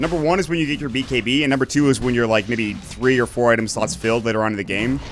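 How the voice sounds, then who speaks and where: The man rattles off words extremely quickly in a mid-range voice, with clear background noise behind him. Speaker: esports caster. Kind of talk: live commentary. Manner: fast.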